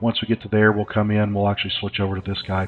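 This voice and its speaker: A medium-pitched man with a slight Southern US accent. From US South. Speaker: gaming YouTuber. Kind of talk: let's play commentary. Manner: hesitant, many fillers.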